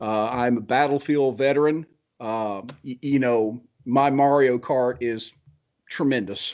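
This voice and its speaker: Speaking fairly slowly in an American accent, a man is heard against a quiet background. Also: medium pitch for a man. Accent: Southern US, medium now, normally thick. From US South, Georgia. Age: 40s. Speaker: blacksmith. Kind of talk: casual chat. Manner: animated.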